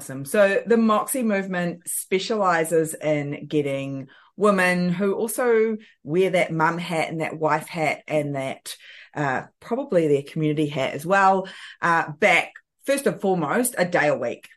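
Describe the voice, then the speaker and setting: The speaker has a New Zealand accent and lively intonation. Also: woman, fairly low pitch for a woman, quiet background. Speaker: time management coach. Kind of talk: casual interview.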